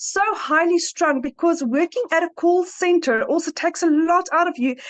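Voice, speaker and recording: A woman speaks at a moderate pace in an extremely high pitch with ordinary pitch variation and very even loudness. The sound is dry and close with no echo, over noticeable background noise. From South Africa. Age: 40s. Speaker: webinar participant giving testimonial. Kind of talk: testimony. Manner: halting.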